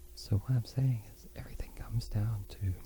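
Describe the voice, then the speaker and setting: A man speaks in a soft-spoken way. His pace is fairly slow. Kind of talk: soft-spoken ASMR talk; unscripted casual musing.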